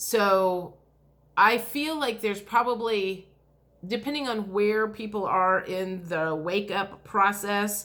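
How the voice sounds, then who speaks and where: A woman speaks very slowly in a medium pitch. Her tone is bright and sharp, with ordinary pitch variation. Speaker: spiritual tarot reader, video blogger. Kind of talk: casual talk to camera.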